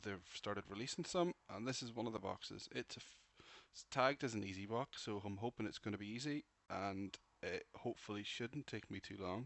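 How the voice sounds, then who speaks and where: A man's ordinary speaking voice, fairly low in pitch, at a fairly quick pace with ordinary pitch variation. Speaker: penetration tester learning security. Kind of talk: casual intro talk to camera.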